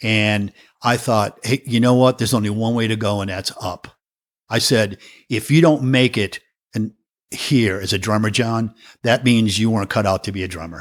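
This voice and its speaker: The sound is dry and close, with no echo. A man at a medium pitch talks at a moderate pace with fairly even intonation. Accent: slight New England. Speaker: professional drummer. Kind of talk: interview conversation.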